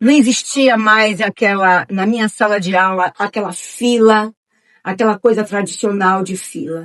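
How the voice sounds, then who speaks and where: A woman's fairly high voice, a plain, everyday voice, fairly slow in pace with ordinary pitch variation, the sound dry and close with no echo. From Bahia, Brazil (Nilo Peçanha). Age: 60s. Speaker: retired schoolteacher. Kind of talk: oral history interview.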